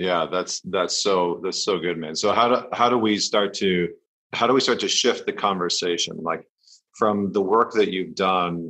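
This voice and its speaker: A plain, everyday voice speaks at a moderate pace. The pitch varies by an ordinary amount. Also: man, fairly low pitch for a man. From northern Alberta, Canada. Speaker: podcast host and men's coach. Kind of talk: casual interview.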